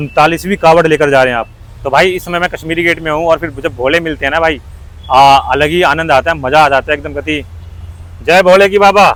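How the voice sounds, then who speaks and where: A plain, everyday voice from a man, rather high-pitched, rising and falling by a typical amount. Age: young. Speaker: roadside video interviewer. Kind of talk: street interview. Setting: outdoors on the road.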